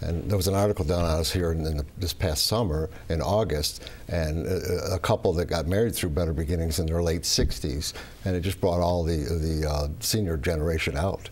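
The speaker is somewhat breathy, moving at a fairly quick pace with very even loudness and fairly even intonation. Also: man, very deep, low pitch for a man. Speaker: matchmaker. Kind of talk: broadcast interview. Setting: studio. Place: studio.

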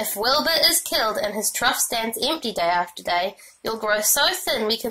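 Words are read out plainly. It amounts to plain reading aloud.

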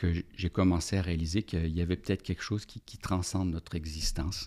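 In a quiet background, a man with a very deep, low pitch and a dark, mellow tone speaks at a fairly quick pace in monotone, flat intonation. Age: 50s. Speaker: organizational development consultant and business coach; business coach. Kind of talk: casual interview. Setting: podcast studio. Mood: warm, reflective. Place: studio. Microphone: studio mic.

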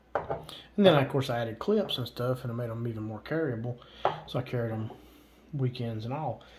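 The talking moves fairly quickly while loud noise fills the background. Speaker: gear reviewer. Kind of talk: casual tutorial. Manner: halting, filler words. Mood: relaxed, enthusiastic. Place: home room.

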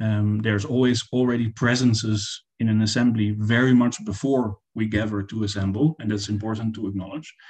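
Against a quiet background, a man speaks in a somewhat breathy voice at a fairly quick pace, with fairly even intonation and hardly any pauses. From Netherlands. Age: 40s. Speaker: artist. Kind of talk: panel presentation. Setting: video call.

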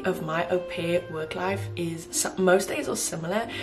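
A woman talks at moderate speed while clear music sounds behind her. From South Africa. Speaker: au pair. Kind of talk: casual vlog talk to camera. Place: home room. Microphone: phone near.

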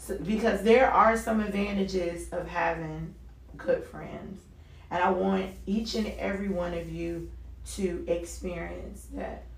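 A woman talks fairly slowly amid noticeable background noise and audible room echo. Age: 40s. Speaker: radio talk show host. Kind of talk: solo talk radio monologue. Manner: animated.

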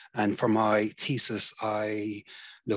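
The man's voice sits at a fairly low pitch, with a bright, sharp tone.

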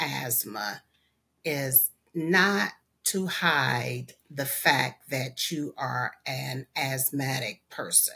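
A woman's voice, very deep and low in pitch, carries a bright, sharp tone and vocal fry. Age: 50s. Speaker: asthma patient. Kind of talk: testimony. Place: home room. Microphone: webcam.

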